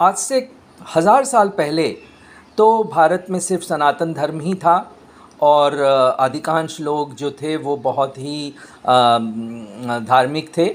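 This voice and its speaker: With lively intonation and a fairly high pitch, a man speaks with long, frequent pauses. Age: 60s. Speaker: chemistry lecturer. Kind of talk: personal opinion monologue. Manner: halting, many fillers.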